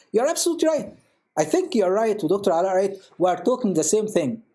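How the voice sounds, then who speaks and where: A man with an Arabic accent speaks in a dark, mellow tone with very wide pitch swings. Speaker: priest. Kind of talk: panel discussion. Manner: code-switching Arabic and English.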